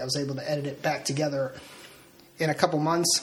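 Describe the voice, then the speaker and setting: A man with a fairly high pitch talks at a very fast pace against noticeable background noise. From Delaware. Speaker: author and real estate agent. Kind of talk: casual interview.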